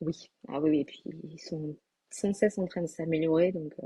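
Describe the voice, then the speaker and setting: A woman speaks at a fairly low pitch in a dark, mellow tone. Her voice is somewhat breathy, with fairly even intonation. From southwestern France, Landes. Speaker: graphic designer and online entrepreneur. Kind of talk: interview. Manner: hesitant, many fillers.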